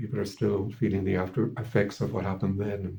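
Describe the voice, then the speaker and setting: Fairly quick in pace, a man speaks at a fairly low pitch with ordinary pitch variation. His tone is dark, mellow and somewhat breathy. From Ireland. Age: 70s. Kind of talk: interview testimony. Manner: halting, many repetitions and fillers.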